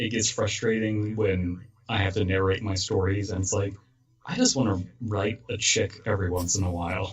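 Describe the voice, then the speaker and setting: Somewhat breathy and fairly low in pitch, a man talks at a moderate pace with monotone, flat intonation. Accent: American. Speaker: podcast host and horror story narrator. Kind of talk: casual chat.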